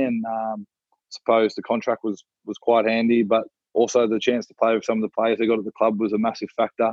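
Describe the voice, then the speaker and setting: A man speaks with an Australian accent. His pitch sits in the medium range. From Australia, NSW South Coast (Warilla, Wollongong). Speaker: rugby league player. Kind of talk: interview.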